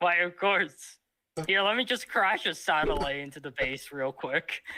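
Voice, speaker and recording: Loud and bright with a sharp tone, a man speaks at a moderate pace, his high pitch carrying lively intonation. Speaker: streamer. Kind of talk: casual chat. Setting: live stream.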